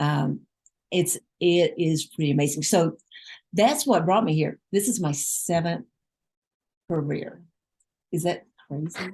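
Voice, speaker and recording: A somewhat breathy woman's voice, fairly low in pitch and dark and mellow in tone, fairly slow with long, frequent pauses and ordinary pitch variation. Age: 60s. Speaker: life coach. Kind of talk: casual chat.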